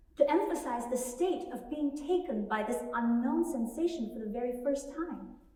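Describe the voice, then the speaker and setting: A woman with a high voice and a dark, mellow tone speaks at a fairly slow pace with lively intonation amid audible room echo. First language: Mandarin Chinese. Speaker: music doctoral student, pianist. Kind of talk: spoken introduction to a performance.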